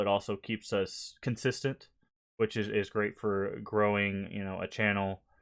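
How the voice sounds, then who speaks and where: The speaker has a slight Southern US accent and talks at a moderate pace. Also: man. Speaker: gaming streamer. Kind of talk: casual live stream chat.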